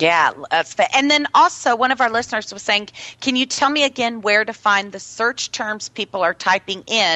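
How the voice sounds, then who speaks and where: A woman speaks in a plain, everyday voice with fairly high pitch and lively intonation. She keeps a moderate pace with hardly any pauses. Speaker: radio host. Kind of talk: radio interview. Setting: live radio show with online chat room. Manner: chatty, upbeat.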